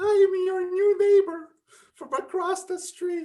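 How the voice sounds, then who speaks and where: In a squeaky put-on character voice, the speaker goes extremely high in pitch at a fairly slow pace. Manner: nervous, timid.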